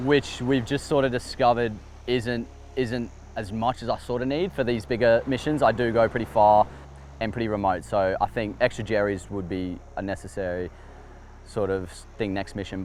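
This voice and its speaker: Here a man talks with an Australian accent at a fairly quick pace. His intonation is lively. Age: 20s. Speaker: fishing YouTuber. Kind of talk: casual interview.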